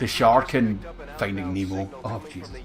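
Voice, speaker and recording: A man is talking. Music can be heard in the background. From Scotland, Glasgow. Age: 20s. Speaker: video game streamer. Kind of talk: casual live-stream chat. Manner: animated.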